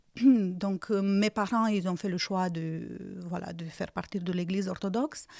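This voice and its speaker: With a slight Romanian accent, the speaker uses a dark, mellow tone and ordinary pitch variation at a fairly slow pace, in a very clean recording with a silent background. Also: woman, medium pitch for a woman. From Romania, Iași region (north-east). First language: Romanian (speaking French). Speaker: churchgoer giving life testimony. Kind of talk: testimony interview. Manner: hesitant, many fillers.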